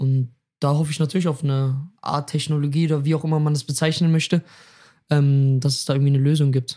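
Talking at a very fast pace, a man with a fairly high pitch has a dark, mellow, somewhat breathy tone and monotone, flat intonation. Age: 20s. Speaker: athlete and youtuber, interview guest. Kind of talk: casual chat.

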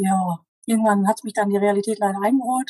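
This woman has a medium pitch and a dark, mellow tone. The sound is dry and close, with no echo. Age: 40s. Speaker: diabetes coaching client. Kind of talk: interview.

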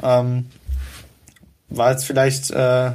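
A man with a medium pitch talks fairly slowly. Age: 20s. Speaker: football club writer. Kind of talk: casual football chat. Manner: many fillers, hesitant.

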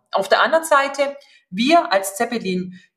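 A woman's bright, sharp voice with a slight Swabian accent and very wide pitch swings. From Upper Swabia, southern Germany. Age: 40s. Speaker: HR executive. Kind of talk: interview.

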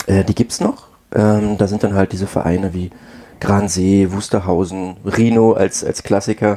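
A man with a fairly low pitch and a dark, mellow tone speaks at a moderate pace in a monotone, flat way. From Brandenburg, Germany. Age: 30s. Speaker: amateur tennis player. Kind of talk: casual chat.

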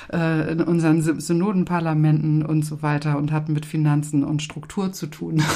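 Against noticeable background noise and audible room echo, the speaker talks at a moderate pace with hardly any pauses in a monotone, flat intonation. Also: woman, very deep, low pitch for a woman. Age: 60s. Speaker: retired pastor. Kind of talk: interview.

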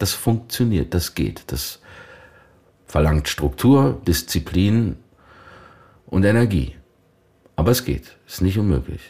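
The voice has a dark, mellow tone with vocal fry and very wide pitch swings. The pace is very slow, with long, frequent pauses. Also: man, very deep, low pitch for a man. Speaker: voice actor and actor. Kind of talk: casual chat. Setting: room near a lake, Ahaus.

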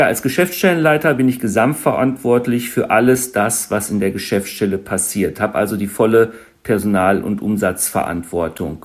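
A man with an ordinary speaking voice and a fairly low pitch talks at a moderate pace. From Germany, East Westphalia. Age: 40s. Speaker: insurance branch manager. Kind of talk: interview.

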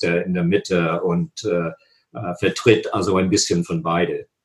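English accent from a male speaker. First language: English (speaking German). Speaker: political science professor. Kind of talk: interview. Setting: video call. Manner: halting, many hesitations.

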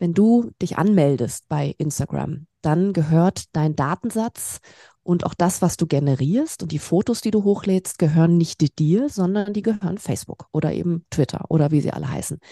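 A woman with a fairly low pitch speaks in an energetic tone with lively intonation at a moderate pace. The sound is dry and close, with no echo. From Germany, Berlin. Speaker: tech startup founder. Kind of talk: podcast interview. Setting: remote call from home.

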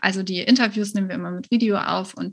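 The recording is very clean, with a silent background. A woman of medium pitch talks at a fairly quick pace in a somewhat breathy voice. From Germany, Cologne. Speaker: virtual assistance business coach. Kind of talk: interview.

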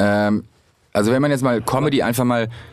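Here is a plain, everyday voice at a fairly quick pace. Its pitch variation is ordinary. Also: man. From Hamburg, northern Germany. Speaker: comedian. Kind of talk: casual chat.

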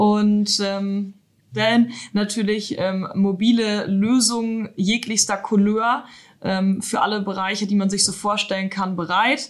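A woman speaks at a very slow pace with a medium pitch and fairly even intonation. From northern Germany, Emsland. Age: 30s. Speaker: IT manager. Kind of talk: interview.

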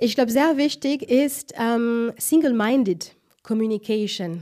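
Speaking with a French accent, a woman has a high pitch. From France. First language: French (speaking German). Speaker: marketing director. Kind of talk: interview.

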